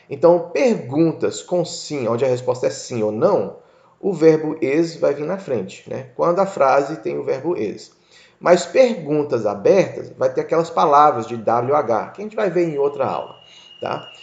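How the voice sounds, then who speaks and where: A man's fairly slow speech with lively intonation, vocal fry and audible room echo. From United States (moved from Brazil at age 6). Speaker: English teacher. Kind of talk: lecture. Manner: casual, conversational.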